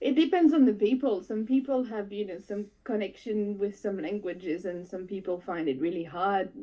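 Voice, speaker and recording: This woman speaks with a French accent at a medium pitch. Her pace is moderate, with ordinary pitch variation. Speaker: FPV drone pilot. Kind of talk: casual chat. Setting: live stream.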